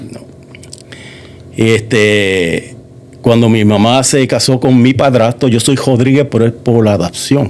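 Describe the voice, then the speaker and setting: A man's very slow, fairly evenly intoned speech with long, frequent pauses and noticeable background noise. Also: medium pitch for a man. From Puerto Rico, moved to Massachusetts at about 9. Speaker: church member giving testimony. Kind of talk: testimony interview. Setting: church studio.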